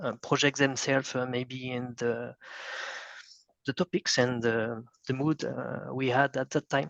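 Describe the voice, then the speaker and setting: A man with a French accent speaks at a fairly slow pace and medium pitch, leaving long, frequent pauses. His intonation is fairly even, the sound dry and close with no echo, the background quiet. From France. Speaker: band musician. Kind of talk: interview. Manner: halting, many fillers.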